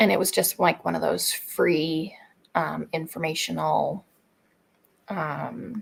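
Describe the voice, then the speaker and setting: A woman speaks softly and very slowly. Her words are broken by long, frequent pauses. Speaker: homesteading channel host. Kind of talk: casual chat. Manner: soft-spoken.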